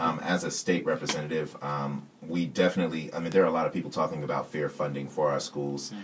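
Over noticeable background noise, a man with an American accent speaks at a fairly quick pace in a very deep, low pitch with monotone, flat intonation. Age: 30s. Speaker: political candidate. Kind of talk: casual chat.

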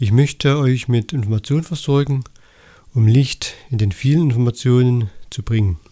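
A man speaks at a moderate pace in a somewhat breathy voice with a dark, mellow tone, medium pitch and ordinary pitch variation. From Saxony, Erzgebirge (eastern Germany). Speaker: holistic health coach, podcaster. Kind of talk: solo podcast monologue. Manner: somewhat halting, with repetitions and fillers.

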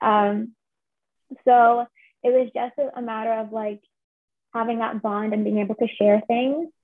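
Long, frequent pauses in a woman's fairly slow, monotone, flat speech. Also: fairly high pitch for a woman. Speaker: drama graduate and writer. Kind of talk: interview.

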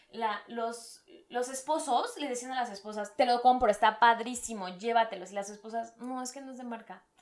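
A woman's normal speaking voice, fairly high in pitch, at a moderate pace. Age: 20s. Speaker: industrial designer and footwear entrepreneur. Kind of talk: casual chat.

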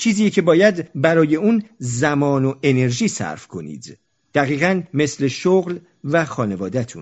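A man's ordinary speaking voice, fairly high in pitch, with lively intonation at a fairly slow pace. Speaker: audiobook narrator and podcaster. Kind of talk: reading aloud. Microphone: recording on a phone, voice recorder broke.

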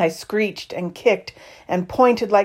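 This natural reading voice moves through ordinary pitch variation.

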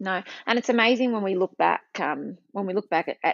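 A woman speaks with an Australian accent. Her pace is fairly quick. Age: 40s. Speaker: Pilates instructor and behavioural therapist. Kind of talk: casual chat.

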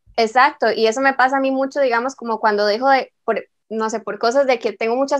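Fairly quick delivery with fairly even intonation, on a very clean recording with a silent background and a dry, close sound free of echo. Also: woman. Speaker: podcast host. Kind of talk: casual chat.

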